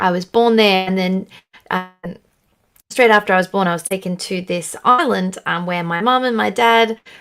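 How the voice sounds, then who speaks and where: Her intonation fairly even, a woman talks in an Australian accent. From Australia, Sydney. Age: young. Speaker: country singer. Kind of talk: casual interview chat. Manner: halting, many fillers.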